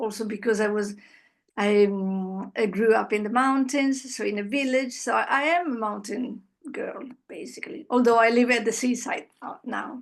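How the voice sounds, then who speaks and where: Over a quiet background, a woman speaks at a moderate pace, her fairly high pitch showing ordinary variation. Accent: Italian. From Italy. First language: Italian. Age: 60s. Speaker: interviewee. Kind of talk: interview. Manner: halting.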